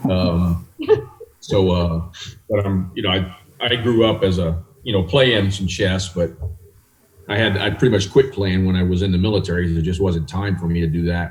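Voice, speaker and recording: Speaking at a moderate pace with long, frequent pauses, a man with an American accent has a very deep, low voice that is somewhat breathy. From US South, South Louisiana. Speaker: chess federation president. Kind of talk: interview.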